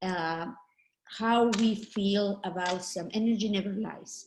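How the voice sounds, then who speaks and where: A woman speaks at a very slow pace with a slight Mexican accent. Her pitch is medium and her intonation fairly even. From Mexico. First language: Spanish. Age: 50s. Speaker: network marketing trainer. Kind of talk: training talk. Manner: halting.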